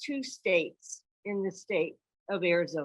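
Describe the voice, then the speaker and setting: A woman with an American accent and a bright, sharp tone, against a quiet background. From South Carolina. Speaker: university dean. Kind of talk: conference talk.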